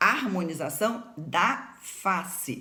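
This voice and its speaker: A woman speaks with a northern Rio de Janeiro state accent and very wide pitch swings. Audible room echo surrounds her voice. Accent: Campos (northern Rio de Janeiro state). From Campos dos Goytacazes, Rio de Janeiro state, Brazil. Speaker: doctor and teacher of facial aesthetics. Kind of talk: informal educational talk to camera. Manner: emphatic.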